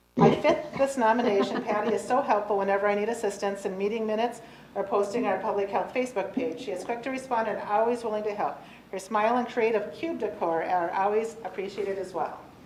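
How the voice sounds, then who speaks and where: Against noticeable background noise and audible room echo, a woman talks at a very fast pace, her fairly high pitch showing ordinary variation. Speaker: county staff presenting employee award. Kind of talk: reading aloud nomination letters at public meeting.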